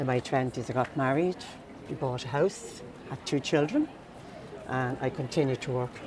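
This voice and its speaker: In a Dublin accent, a woman speaks with a very deep, low voice. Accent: Irish, Dublin. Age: 60s. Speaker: mature student and mentor. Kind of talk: personal testimony.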